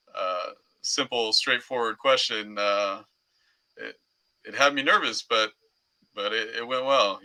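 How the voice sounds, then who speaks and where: A man with a Southern Californian accent talks at a fairly slow pace, his loudness swinging widely and his speech broken by long, frequent pauses. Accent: Southern Californian American. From US, Southern California (Orange County). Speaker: podcast co-host and entertainment press reporter. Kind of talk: casual chat.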